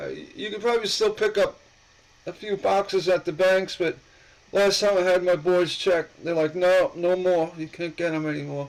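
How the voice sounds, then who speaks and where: At a moderate pace, a man speaks at a high pitch with fairly even intonation. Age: 60s. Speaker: coin collector YouTuber. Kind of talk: live stream chat. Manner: halting.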